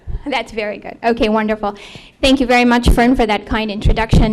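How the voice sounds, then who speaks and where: A woman talks over noticeable background noise. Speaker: nurse practitioner. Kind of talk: lecture. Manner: soft-spoken.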